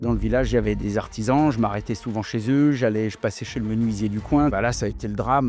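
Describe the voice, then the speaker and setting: The man speaks fairly quickly. His pitch varies in an ordinary way over background music. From France, rural countryside. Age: 40s. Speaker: plumber and TV presenter. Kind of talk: podcast interview. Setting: warehouse. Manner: casual, hesitant fillers.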